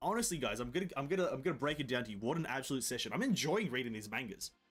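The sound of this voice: A man puts on a hoarse character voice, pitched fairly high, swinging very widely in pitch and talking at a very fast pace.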